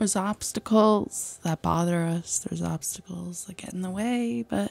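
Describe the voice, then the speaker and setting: A woman's fairly low voice in a playful tone, with lively intonation, a moderate pace, big swings in loudness, and a dry sound with no echo. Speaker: ASMR streamer. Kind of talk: casual talk to camera. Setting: live stream at home. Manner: playful, chaotic, joking. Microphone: studio mic.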